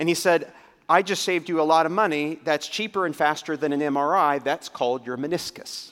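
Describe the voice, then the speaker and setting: A man with a plain, everyday voice, fairly high in pitch, at a fairly quick pace with ordinary pitch variation. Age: 50s. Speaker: pastor. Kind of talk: sermon.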